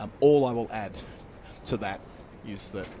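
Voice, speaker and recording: A man with an Australian accent talks at a fairly quick pace, with audible room echo around his voice. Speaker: cricket commentator. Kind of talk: live commentary. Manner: halting.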